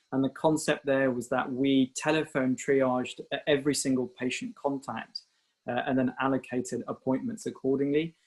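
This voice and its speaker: In a British accent, a man talks at a medium pitch. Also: fairly even intonation, moderate pace. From UK. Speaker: doctor. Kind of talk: webinar presentation. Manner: hesitant, many fillers.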